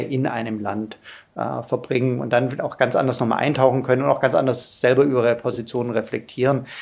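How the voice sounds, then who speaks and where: A man with a medium-pitched voice speaks with vocal fry. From Lower Bavaria (Bavarian Forest), born in Ulm. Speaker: political science professor. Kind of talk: interview. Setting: studio, in person.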